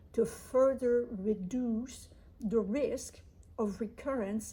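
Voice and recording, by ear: A woman with a dark, mellow tone keeps her intonation fairly even.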